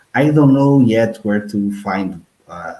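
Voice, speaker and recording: A man speaks with a Portuguese accent, his tone dark and mellow. His pitch varies in an ordinary way. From northern Portugal (Porto). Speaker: podcast host. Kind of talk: casual chat. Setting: live stream.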